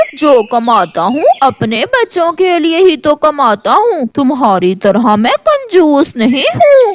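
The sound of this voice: A cartoonish character voice, high in pitch, moves at a fairly slow pace with very wide pitch swings and hardly any pauses.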